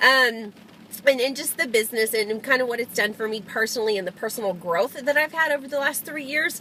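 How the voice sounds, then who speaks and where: A woman speaks very fast and loud at a high pitch with ordinary pitch variation, against noticeable background noise. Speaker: network marketing distributor. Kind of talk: live video tips talk. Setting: in a car. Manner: hesitant fillers.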